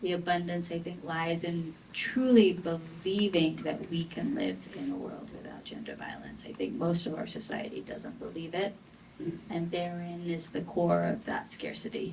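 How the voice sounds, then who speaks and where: A woman speaks at a moderate pace amid audible room echo. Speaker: advocate against gender violence. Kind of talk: panel discussion.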